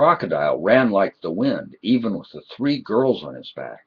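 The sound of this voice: This is an unforced reading voice. The words come out in an unforced reading voice throughout.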